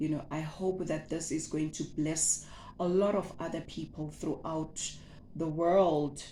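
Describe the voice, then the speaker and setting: A woman with a Zulu accent speaks at a fairly slow pace. Her fairly low voice has a monotone, flat intonation. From South Africa. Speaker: butcher and meat-processing entrepreneur, former teacher. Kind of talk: casual vlog introduction. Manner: hesitant, with many fillers and repetitions.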